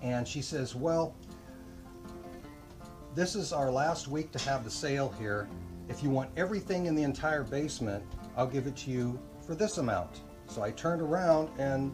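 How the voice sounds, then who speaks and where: Clear music sits in the background. Over it, a man speaks at a moderate pace. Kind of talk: casual conversation, storytelling. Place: workshop. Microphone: camera far.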